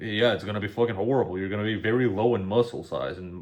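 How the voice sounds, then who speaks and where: This is a male speaker. He talks with a Macedonian accent. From North Macedonia. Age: 20s. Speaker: YouTube reaction creator. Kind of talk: casual reaction commentary. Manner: animated.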